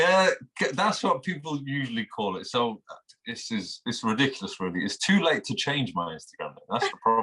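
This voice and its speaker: Speaking at a fairly quick pace, a man with a fairly high pitch and a bright, sharp tone swings his pitch very widely, with vocal fry. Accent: Manchester. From England, Manchester. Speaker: instagram guitarist. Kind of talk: interview. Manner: halting.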